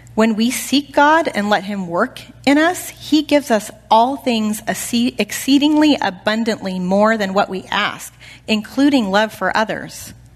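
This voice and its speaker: Somewhat breathy and fairly high in pitch, a woman talks at a fairly slow pace with lively intonation. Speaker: women's Bible study teacher. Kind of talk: sermon. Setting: church. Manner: animated.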